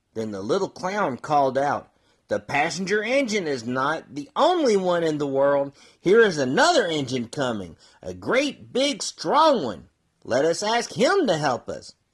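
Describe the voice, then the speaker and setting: Someone performs a put-on character voice at a middle pitch and a moderate pace. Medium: read story.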